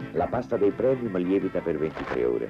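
A man talks at a fairly quick pace over music in the background. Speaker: voice-over announcer. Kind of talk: TV commercial read.

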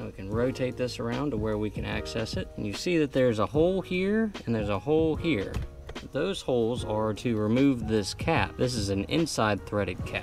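Clear music plays in the background as a man speaks at a moderate pace. The sound is dry, with no echo. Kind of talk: tutorial. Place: garden.

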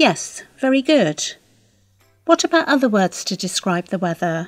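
Over music in the background, a woman speaks slowly-ish at a fairly high pitch with very wide pitch swings, the sound dry and close with no echo. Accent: British. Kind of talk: scripted dialogue for English learners.

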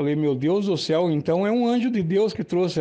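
The speaker is a man whose tone is dark and mellow. Nothing much sounds behind him. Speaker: storyteller. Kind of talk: personal testimony narration. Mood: emotional, reverent. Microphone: studio mic.

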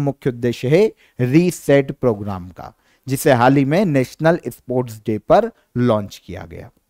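A man speaks at a fairly slow pace with lively intonation and a dark, mellow tone, recorded very cleanly against a silent background with a dry, close sound and no echo. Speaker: current affairs educator. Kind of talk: exam-prep lecture.

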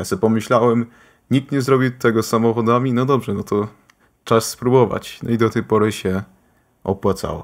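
Over a silent background in a very clean recording, a man talks at a fairly quick pace. His pitch is medium and his intonation fairly even. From Austria, Polish-speaking family. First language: bilingual Polish and German, sometimes forgets Polish words (speaking Polish). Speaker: gaming YouTuber. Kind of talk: casual chat.

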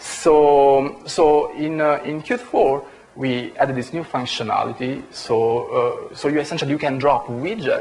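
The speaker is a man. He has an Italian accent. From Italy. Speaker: software engineer; conference presenter. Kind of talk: conference talk. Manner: halting. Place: hall. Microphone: camera far.

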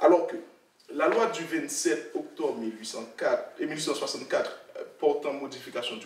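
Light background noise and audible room echo accompany the man as he talks. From Haiti. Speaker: author, researcher. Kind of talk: academic discussion. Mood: calm, reflective, hesitant pauses. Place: meeting room. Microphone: podium.

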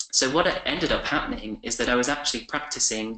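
Over a quiet background with audible room echo, a man with an English accent and a bright, sharp tone talks at a fairly quick pace with ordinary pitch variation. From England. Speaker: communications professional; webinar guest. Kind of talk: webinar presentation. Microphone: webcam.

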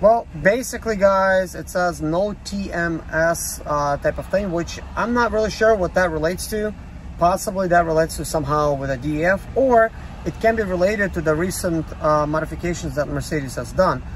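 A man with a high pitch, moderate pace and ordinary pitch variation, dry sound with no echo, and light background noise. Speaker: van owner vlogger. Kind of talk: casual vlog chat. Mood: calm, mildly concerned. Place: car. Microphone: phone near.

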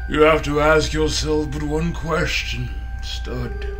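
Loud music plays behind a man doing a put-on character voice. He talks at a fairly slow pace. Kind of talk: wrestling promo. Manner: theatrical, menacing.

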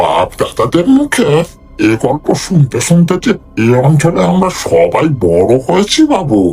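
A man's put-on character voice, fairly high-pitched, at a fairly slow pace with very even loudness, music playing in the background. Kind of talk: folk horror storytelling. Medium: read story. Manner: deferential, hushed and fearful.

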